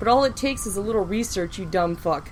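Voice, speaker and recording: Noticeable background noise sits behind a woman speaking at a fairly quick pace. Her tone is animated and angry, with very wide pitch swings. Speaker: podcast host. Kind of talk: heated rant. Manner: animated, angry.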